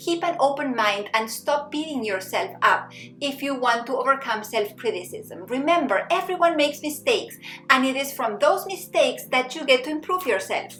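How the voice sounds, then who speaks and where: A woman with a non-native accent speaks at a moderate pace in a high pitch, with very wide pitch swings. Music plays in the background, and there is audible room echo. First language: not English. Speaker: psychologist and happiness coach. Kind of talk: self-help tutorial.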